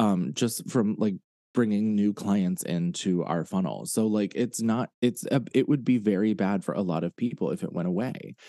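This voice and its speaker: Lively intonation marks a plain, everyday voice from a man with a fairly low pitch, speaking at a moderate pace. The sound is dry and close with no echo, against a quiet background. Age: 30s. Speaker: podcast co-host. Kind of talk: casual chat.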